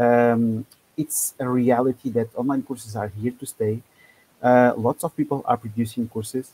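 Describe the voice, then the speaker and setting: A man with a non-native accent speaks at a moderate pace and medium pitch, in a dark, mellow tone. His intonation is fairly even, and the sound is dry and close with no echo. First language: not English. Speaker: business and course creator coach. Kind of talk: webinar presentation. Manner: halting, many fillers.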